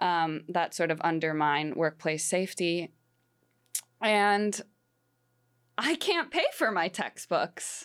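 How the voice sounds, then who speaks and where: A woman with an American accent speaks at a fairly low pitch and a very slow pace, with long, frequent pauses, fairly even intonation and very even loudness, on a very clean recording with a silent background. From Wisconsin, Green Bay. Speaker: student journalist. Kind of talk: casual radio discussion.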